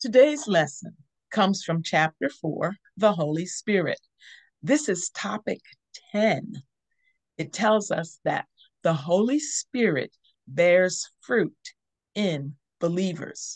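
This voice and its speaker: Against a quiet background, the speaker goes very slowly, with long, frequent pauses and very wide pitch swings. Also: woman. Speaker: teaching host. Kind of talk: devotional teaching. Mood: warm, smiling. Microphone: video call.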